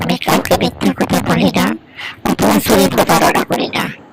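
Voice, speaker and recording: At a moderate pace, a man performs a cartoonish character voice. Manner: polite, pleading, earnest.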